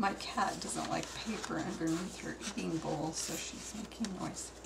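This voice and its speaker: Audible room echo surrounds the voice. Noticeable background noise runs underneath. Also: woman. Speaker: craft hobbyist showing altered art books. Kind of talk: show-and-tell tutorial. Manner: slow; halting.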